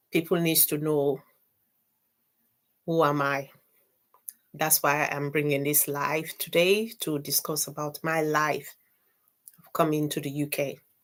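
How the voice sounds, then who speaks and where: With a very deep, low pitch and monotone, flat intonation, a woman speaks at a fairly slow pace, with long, frequent pauses and big swings in loudness. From Sierra Leone. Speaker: YouTube content creator. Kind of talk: live stream life story. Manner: halting.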